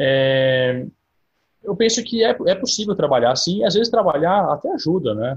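A man's high voice swings very widely in pitch as he keeps a moderate pace. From São Carlos, interior of São Paulo, Brazil. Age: 30s. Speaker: recently approved diplomatic exam candidate. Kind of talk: online Q&A talk.

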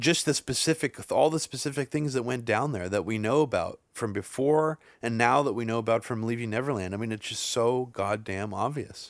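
On a very clean recording with a silent background, a man with a plain, everyday voice talks at a fairly quick pace with hardly any pauses, a medium pitch and ordinary pitch variation. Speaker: podcast host. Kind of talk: casual discussion podcast.

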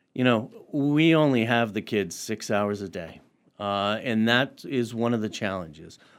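A normal speaking voice from a man, medium in pitch, with ordinary pitch variation and a fairly slow pace. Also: very clean recording, silent background. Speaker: education administrator. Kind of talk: radio interview. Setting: radio studio.

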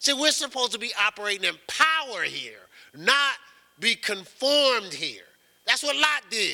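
Raised and projected, a man's extremely high voice carries a bright, sharp tone and lively intonation with an American accent. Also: moderate pace. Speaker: pastor. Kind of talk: sermon. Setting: church. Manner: halting.

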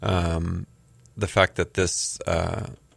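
In a very clean recording with a silent background, a man talks in a very deep, low pitch, the sound dry and close with no echo. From Southern California. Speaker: arts organizer and artist. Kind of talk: radio interview.

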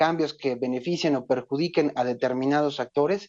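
A man speaks in an ordinary speaking voice. He keeps a moderate pace with ordinary pitch variation. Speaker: legislative researcher. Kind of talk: phone interview. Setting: phone call. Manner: formal.

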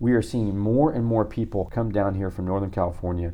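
With an American accent, a man talks at a fairly low pitch with ordinary pitch variation, an unremarkable speaking voice. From central Illinois. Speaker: venture capitalist. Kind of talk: interview.

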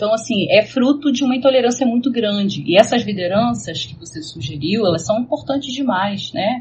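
A woman with a fairly high pitch talks at a moderate pace with lively intonation, big swings in loudness and hardly any pauses. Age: 40s. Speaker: professor and researcher in psychology and religion. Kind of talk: casual discussion.

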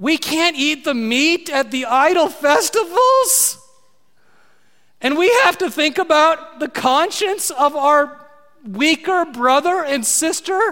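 In a put-on character voice, the speaker uses a whiny, high-pitched voice and a whiny tone at a fairly slow pace. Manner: whiny, complaining.

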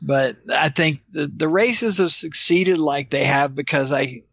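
This man has an ordinary speaking voice with an American accent. His pitch is fairly high and his pace moderate. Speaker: ultramarathon race director. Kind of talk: interview.

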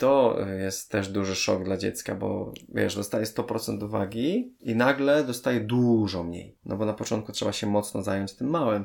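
An unremarkable speaking voice with ordinary pitch variation. It goes at a moderate pace with hardly any pauses. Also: man, fairly low pitch for a man. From Poland, Częstochowa. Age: 30s. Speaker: parenting blogger. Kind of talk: interview conversation.

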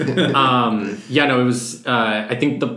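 Music plays in the background behind a man. He has a Californian accent and a medium pitch. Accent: Californian American. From Los Angeles (Santa Monica, Pasadena). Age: 20s. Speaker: actor and writer. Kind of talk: casual chat.

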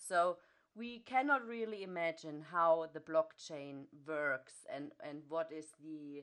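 Lively intonation in a German accent at a fairly slow pace. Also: woman. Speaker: podcast host. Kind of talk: interview. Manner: halting, many fillers.

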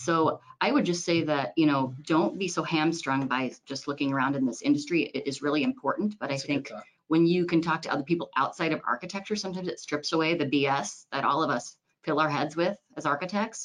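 A woman with an American accent speaks at a fairly quick pace. Her pitch is very deep and low, with ordinary pitch variation. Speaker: architect firm owner. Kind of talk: panel discussion.

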